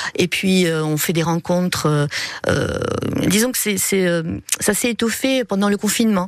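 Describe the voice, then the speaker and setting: The speech moves at a fairly slow pace with ordinary pitch variation. The sound is dry and close with no echo, and there is noticeable background noise. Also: woman. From Montpellier, southern France. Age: 50s. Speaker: primary school teacher, ukulele player. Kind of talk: radio interview.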